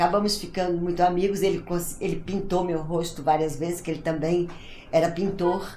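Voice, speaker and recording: Audible room echo surrounds the recording. A woman with a fairly low pitch talks at a moderate pace. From Brazil, Ceará. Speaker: actress, writer and theatre director. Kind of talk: interview, personal storytelling.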